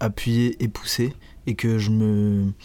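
A dark, mellow tone in a monotone, flat delivery, on a very clean recording with a silent background. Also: man. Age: 20s. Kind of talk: casual interview.

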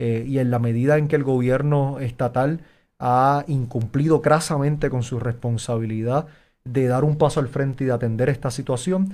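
On a very clean recording with a silent background, a man talks at a moderate pace in a dark, mellow tone. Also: medium pitch for a man, fairly even intonation. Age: young. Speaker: mayoral candidate. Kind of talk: interview.

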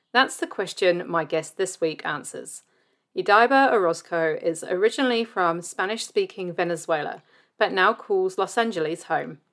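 A woman speaks at a moderate pace in a plain, everyday voice. Her pitch is medium with ordinary variation, on a very clean recording with a silent background. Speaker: podcast host. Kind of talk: scripted narration.

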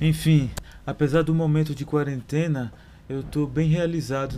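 A man with a dark, mellow tone talks at a moderate pace in a monotone with flat intonation. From Brazil, southern Bahia (Pataxó village). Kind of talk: personal life story narration.

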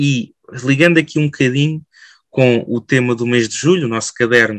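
The voice keeps a moderate pace, with a dry, close sound and no echo. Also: man. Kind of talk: podcast interview. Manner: halting, frequent fillers.

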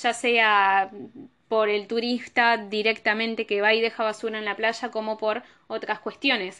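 A woman with a bright, sharp tone and fairly high pitch, speaking at a fairly slow pace against a quiet background. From Argentina. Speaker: tourism professional and podcast host. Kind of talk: solo educational podcast talk.

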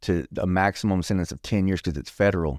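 A very deep, low-pitched man's voice in a Texan accent at a fairly quick pace, with a dry, close sound, no echo and a very clean recording over a silent background. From Texas, Bryan. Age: 40s. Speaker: recovering addict sharing testimony. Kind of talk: testimony.

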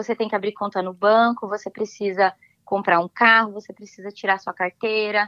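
A woman speaks fairly quickly at a medium pitch in a bright, sharp tone, monotone and flat, with a dry, close sound and no echo. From Brazil, São Paulo state (São José dos Campos). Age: 30s. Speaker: immigrant sharing experience. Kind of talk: interview.

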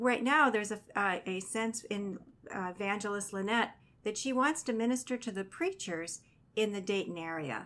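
Recorded very cleanly against a silent background, a woman talks at a moderate pace in an unremarkable speaking voice, with medium pitch and ordinary pitch variation. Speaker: radio host, chaplain. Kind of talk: radio interview. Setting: radio studio.

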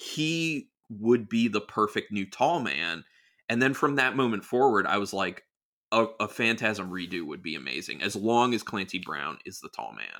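A man with a fairly low pitch and vocal fry speaks at a moderate pace in a bright, sharp tone. His pitch swings very widely and his loudness shifts a great deal, all in a very clean recording with a silent background. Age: 40s. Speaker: YouTuber and horror film reviewer. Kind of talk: casual chat.

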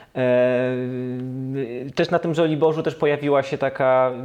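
A man talks at a medium pitch. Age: 30s. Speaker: podcast host. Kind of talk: casual chat.

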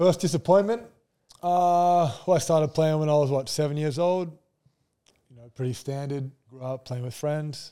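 With an Australian accent, a man speaks at a moderate pace in a fairly high pitch with a dark, mellow tone and ordinary pitch variation. His loudness swings widely, and he takes long, frequent pauses. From Brisbane, Australia. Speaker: professional basketball player. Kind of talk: casual chat.

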